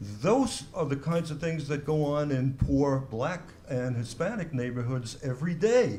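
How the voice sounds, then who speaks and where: With a dark, mellow tone and a somewhat breathy sound, a man speaks at medium pitch with ordinary pitch variation amid audible room echo. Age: 70s. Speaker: panelist, author. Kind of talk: panel discussion. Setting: bookstore panel event with audience.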